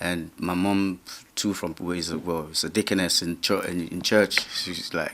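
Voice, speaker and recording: A man's very deep, low voice at a moderate pace, with fairly even intonation. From Nigeria, grew up in Lagos. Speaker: musician. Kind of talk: interview. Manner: halting.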